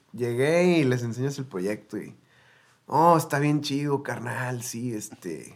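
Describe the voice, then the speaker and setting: Speaking at a very slow pace, a man of medium pitch shows ordinary pitch variation. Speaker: singer-songwriter and producer. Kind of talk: casual interview chat.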